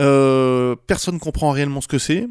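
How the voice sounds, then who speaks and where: The man's pitch is medium and his intonation fairly even. He speaks at a moderate pace. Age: 40s. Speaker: AI company cofounder. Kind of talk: casual interview. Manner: halting, many repetitions.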